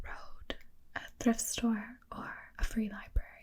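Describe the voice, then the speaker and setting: Soft-spoken, the speaker goes at a fairly slow pace. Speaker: ASMR host. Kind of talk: ASMR book review.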